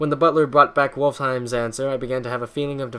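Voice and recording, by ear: Someone reads text aloud in a natural voice, keeping the intonation fairly even.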